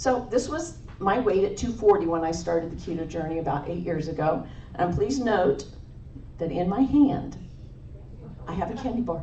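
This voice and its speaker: Over noticeable background noise and audible room echo, a woman with fairly low pitch speaks at a moderate pace in an animated tone, with lively intonation, big swings in loudness and long, frequent pauses. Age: 60s. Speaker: nurse and conference speaker. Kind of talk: conference talk.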